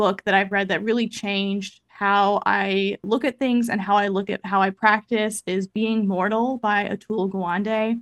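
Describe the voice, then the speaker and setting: A woman's medium pitch in monotone, flat intonation with hardly any pauses, recorded very cleanly against a silent background, with a dry, close sound and no echo. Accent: American. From US Midwest, Kansas City, Missouri. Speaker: occupational therapist and advocacy educator. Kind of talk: podcast interview. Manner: fast.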